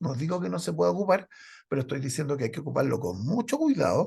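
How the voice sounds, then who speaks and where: Against a quiet background, a man with vocal fry talks at a very fast pace, his pitch swinging very widely. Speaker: medical lecturer. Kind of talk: lecture. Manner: intense.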